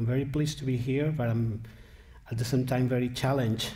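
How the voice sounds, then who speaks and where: A man's somewhat breathy, dark, mellow voice at a medium pitch, with a Spanish accent, ordinary pitch variation and audible room echo. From Spain. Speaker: philosopher, keynote speaker. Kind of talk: lecture. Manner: halting, with many fillers.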